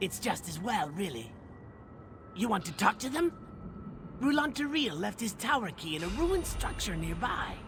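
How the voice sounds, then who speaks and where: A put-on character voice, fairly high in pitch, moves at a moderate pace with long, frequent pauses against clear background noise. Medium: video game. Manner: sly, gossiping.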